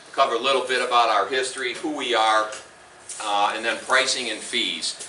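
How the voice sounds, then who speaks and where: Audible room echo and noticeable background noise surround a man who talks at a fairly quick pace with a medium pitch and fairly even intonation. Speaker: company representative presenting on retirement accounts. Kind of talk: seminar presentation. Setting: meeting room with live audience, no microphone. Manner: loud.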